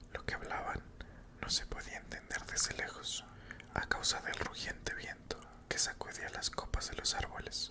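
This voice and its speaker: A whispered voice at a moderate pace, with noticeable background noise. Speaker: ASMR creator. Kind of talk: sleep story.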